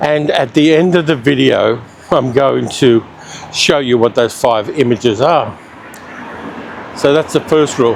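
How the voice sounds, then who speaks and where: With an Australian accent and a fairly high pitch, a man talks with long, frequent pauses over noticeable background noise. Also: ordinary pitch variation, fairly slow pace. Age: 60s. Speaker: travel vlogger. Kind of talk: casual vlog narration while walking. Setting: outdoors.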